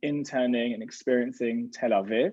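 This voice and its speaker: A man speaks in a British accent with lively intonation. He keeps a fairly slow pace. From UK. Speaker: rabbi and gap year program educator. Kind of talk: online information session interview.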